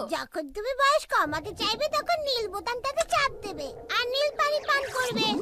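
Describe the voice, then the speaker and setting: In a cartoonish character voice pitched extremely high, the speaker goes at a moderate pace. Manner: patient, gently teasing.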